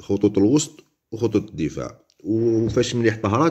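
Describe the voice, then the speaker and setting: A man speaks with an Algerian accent at a moderate pace. His fairly low voice has a dark, mellow tone. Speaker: football pundit. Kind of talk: casual commentary monologue. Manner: halting, many fillers.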